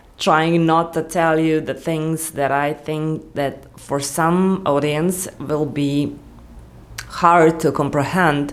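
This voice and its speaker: Very slowly, a woman speaks in a very deep, low pitch. Her intonation is monotone and flat. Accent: non-native. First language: not English. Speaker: YouTuber. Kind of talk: unscripted vlog monologue. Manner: rambling, halting with restarts.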